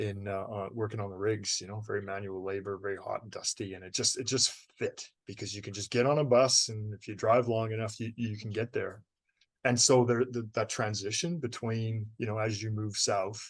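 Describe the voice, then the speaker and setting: A man with a Canadian accent has an unremarkable speaking voice, a fairly low pitch and fairly even intonation. He talks at a moderate pace against a quiet background. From Canada. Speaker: novelist. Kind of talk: interview.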